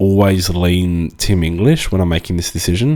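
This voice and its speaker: Deep and very low-pitched, a man's voice carries an Australian accent. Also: very clean recording, silent background. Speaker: fantasy football analyst. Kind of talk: casual talk to camera.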